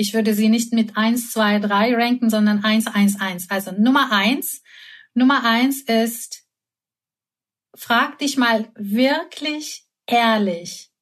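A woman's fairly high, somewhat breathy voice with a Turkish accent, at a very slow pace. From Turkey, Istanbul. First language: Turkish (speaking German). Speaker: concert pianist and creativity consultant. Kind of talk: interview.

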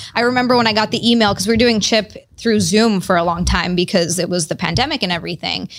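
Very fast, a woman speaks at a medium pitch with ordinary pitch variation, over noticeable background noise. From Hawaii. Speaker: comedian. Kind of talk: casual chat. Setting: studio.

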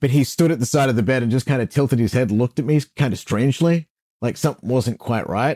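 Speaking very fast at medium pitch, a man has a dark, mellow tone, ordinary pitch variation and very even loudness. The recording is very clean, with a silent background and a dry, close sound with no echo. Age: 40s. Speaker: radio host. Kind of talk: interview.

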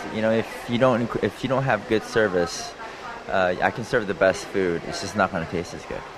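A man talks at a moderate pace in a fairly low voice with ordinary pitch variation. Noticeable background noise runs behind him. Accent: American. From US, Los Angeles. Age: 30s. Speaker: executive chef. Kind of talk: cooking demonstration interview. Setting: live broadcast from a cooking school.

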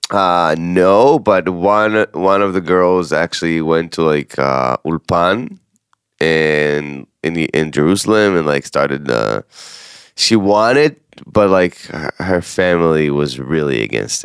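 A man with an Israeli accent and a very deep, low pitch, his intonation lively, at a very slow pace, the sound dry and close with no echo. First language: Hebrew. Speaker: podcast co-host, content creator. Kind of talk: casual chat.

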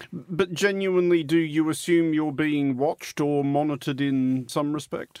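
A man with an ordinary speaking voice talks at a moderate pace with hardly any pauses, his pitch fairly high and his intonation fairly even. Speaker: radio interviewer. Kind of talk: interview.

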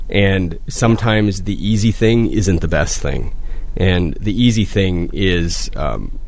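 Heard with audible room echo and noticeable background noise, a man with an Upper Midwest accent speaks with ordinary pitch variation. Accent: Upper Midwest (Minnesota). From Minnesota (Proctor). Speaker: public utilities general manager. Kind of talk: radio interview. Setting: radio studio.

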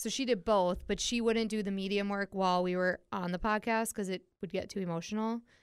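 A normal speaking voice moves at a fairly quick pace with hardly any pauses. The intonation is fairly even. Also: woman, medium pitch for a woman. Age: 30s. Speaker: podcast host. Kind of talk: casual chat.

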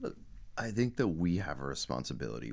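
Someone with an American accent talks at a very fast pace, with vocal fry in the voice. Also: man. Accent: Irish with American twang. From Dublin, Ireland. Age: 30s. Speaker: company founder and CEO. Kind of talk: casual interview.

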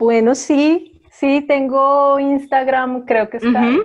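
Here a woman speaks in a high voice at a very slow pace. Her intonation stays fairly even. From Colombia, Bogotá. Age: 40s. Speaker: writer. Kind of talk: casual chat.

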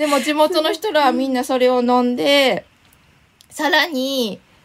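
A woman talks with a high pitch at a moderate pace while noticeable background noise carries on. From Shiga, Kansai. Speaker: illustrated essayist. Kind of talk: casual interview. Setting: remote recording.

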